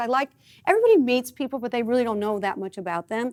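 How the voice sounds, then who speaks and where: A woman's high, animated voice at a very fast pace, with lively intonation and a slight Midwestern US accent. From US Midwest. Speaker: talk show host. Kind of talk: casual interview chat.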